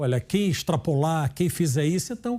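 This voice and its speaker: A man's fairly high, dark, mellow voice, lively in intonation and moderate in pace. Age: 60s. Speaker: retired judge. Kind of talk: interview. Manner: halting.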